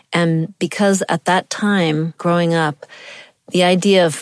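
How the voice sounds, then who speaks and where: A woman with an American accent speaks at a fairly slow pace in a fairly low pitch, her intonation fairly even. The sound is dry and close with no echo, and she has an unremarkable speaking voice. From US. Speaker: professor and poet. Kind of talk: interview.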